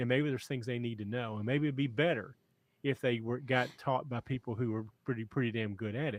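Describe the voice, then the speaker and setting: With fairly even intonation, a man of medium pitch speaks at a fairly quick pace. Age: 60s. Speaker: trucking company owner and podcast host. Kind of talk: podcast chat. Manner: halting, many repetitions.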